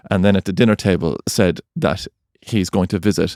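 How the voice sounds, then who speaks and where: In a very clean recording with a silent background, a man with an Irish accent talks very fast at a very deep, low pitch, the sound dry and close with no echo. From Ireland. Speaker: podcast co-host. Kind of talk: casual chat.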